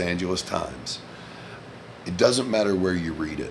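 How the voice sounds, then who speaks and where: With a Southern US accent, a man with a very deep, low voice speaks at a moderate pace amid audible room echo. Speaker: vlogger, former Marine. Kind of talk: casual monologue vlog. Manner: loud.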